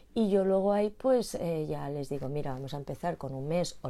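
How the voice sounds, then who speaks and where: A woman speaks with a dark, mellow tone and lively intonation at a moderate pace. The recording is very clean, with a silent background. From Spain. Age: 50s. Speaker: postural therapist and former dancer. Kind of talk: casual interview.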